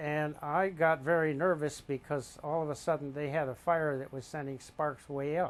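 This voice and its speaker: Speaking at a moderate pace, a man keeps a fairly high pitch in a monotone, flat intonation. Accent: American. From Wisconsin. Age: 80s+. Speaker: retired rock climber. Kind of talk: interview answer.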